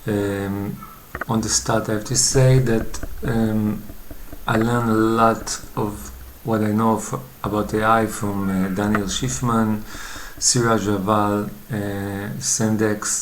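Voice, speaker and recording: Very slow speech in a non-native accent, with noticeable background noise. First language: not English. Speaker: coding tutorial youtuber. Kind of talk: tutorial. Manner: hesitant, many fillers.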